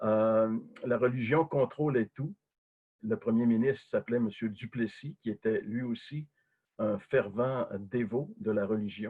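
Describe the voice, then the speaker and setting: A very slow male voice, medium in pitch, with ordinary pitch variation. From Quebec. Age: 60s. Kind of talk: testimony. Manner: hesitant, many fillers.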